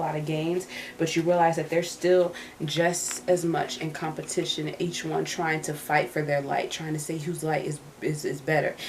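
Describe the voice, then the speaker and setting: Fairly low in pitch, a woman talks at a moderate pace with a monotone, flat intonation. There is audible room echo and noticeable background noise. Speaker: tarot reader. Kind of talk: tarot reading. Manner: halting with repetitions.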